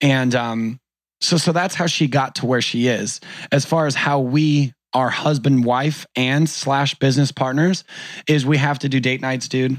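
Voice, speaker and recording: A man with a plain, everyday voice, an American accent and a medium pitch, at a fairly slow pace with fairly even intonation, on a very clean recording with a silent background. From Orange County, California. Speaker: entrepreneur and conference organizer. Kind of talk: casual interview chat.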